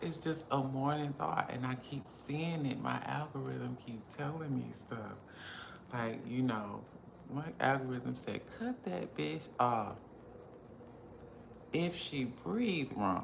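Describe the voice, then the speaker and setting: Against noticeable background noise and audible room echo, a woman with a very deep, low pitch speaks at a very slow pace with lively intonation and long, frequent pauses. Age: 40s. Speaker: beauty influencer and vlogger. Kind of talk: casual vlog monologue. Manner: animated.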